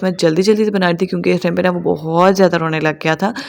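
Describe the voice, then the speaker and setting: Noticeable background noise runs under a woman's voice. Her pitch is medium and her intonation monotone and flat. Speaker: homemaker vlogger. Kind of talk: vlog voice-over narration. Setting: home, recording voice-over downstairs. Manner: casual, conversational.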